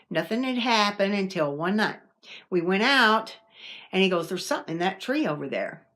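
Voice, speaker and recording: Recorded very cleanly against a silent background, a woman with an American accent talks at a moderate pace. Her medium pitch moves in very wide swings. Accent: Southern, sometimes strong. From US South. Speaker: paranormal vlogger. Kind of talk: casual storytelling. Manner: conversational, with fillers and restarts.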